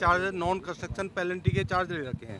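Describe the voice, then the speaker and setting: A man with a high voice speaks over noticeable background noise. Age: 60s. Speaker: residents' association member. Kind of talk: media interview, complaint. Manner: hesitant with fillers.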